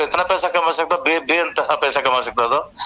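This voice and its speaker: Noticeable background noise sits behind a man speaking at a moderate pace. His pitch is fairly high. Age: 60s. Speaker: retired bank manager. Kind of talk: casual chat. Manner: halting.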